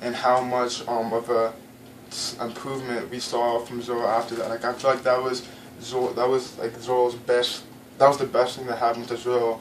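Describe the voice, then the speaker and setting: Amid noticeable background noise, a man of medium pitch speaks fairly quickly in a monotone, flat manner. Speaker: anime reviewer. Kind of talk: casual video commentary. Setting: home, in front of a blank wall. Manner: halting, many fillers and stumbles.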